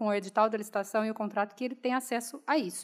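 A woman speaks against a quiet background. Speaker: speaker. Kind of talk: panel Q&A. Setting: auditorium with audience. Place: hall. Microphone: podium.

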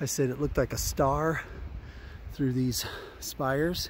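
There is vocal fry as a man speaks at a fairly slow pace. The sound is dry with no echo, over light background noise. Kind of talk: casual vlog chat. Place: open country. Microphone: phone near.

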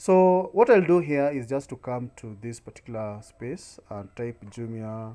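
At a very slow pace, a man talks with lively intonation. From Kenya. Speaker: YouTube tutorial creator; online seller tutor. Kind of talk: screen-recorded tutorial. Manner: frequent filler hesitations. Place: home room. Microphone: webcam.

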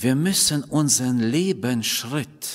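This man speaks very slowly, his intonation lively. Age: middle-aged. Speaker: preacher. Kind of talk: sermon. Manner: halting. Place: church. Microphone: podium.

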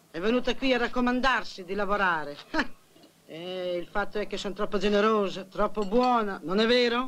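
Light background noise lies beneath speech at a fairly quick pace. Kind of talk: film dialogue. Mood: complaining, self-righteous. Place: home room.

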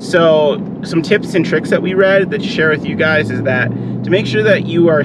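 Loud background noise runs under a man speaking. He talks at a fairly slow pace, and the sound is dry with no echo. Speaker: travel vlogger. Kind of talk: casual vlog chat. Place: car. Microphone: camera far.

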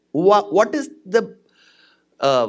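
A man's voice sits high in pitch and makes very wide pitch swings. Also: quiet background. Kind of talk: religious discourse. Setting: stage with audience. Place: stage. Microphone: studio mic.

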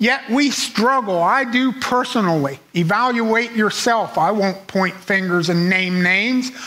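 This man speaks at a very slow pace. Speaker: preacher. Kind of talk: sermon; fervent prayer, sincere and pleading. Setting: church. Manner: earnest, measured, reflective; heartfelt, solemn, fervent in prayer. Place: church.

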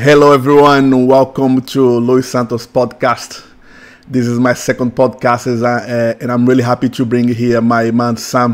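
A man with a Portuguese accent, flat monotone delivery and a fairly slow pace. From Brazil, São Paulo. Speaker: tattoo artist; podcast host. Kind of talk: casual chat. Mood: warm, happy. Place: studio. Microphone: studio mic.

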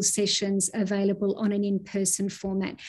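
A woman speaks at a moderate pace in a fairly high, somewhat breathy voice. Her tone is dark and mellow against a quiet background. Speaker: university vice provost. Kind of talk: formal address to students. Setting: video call. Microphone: video call.

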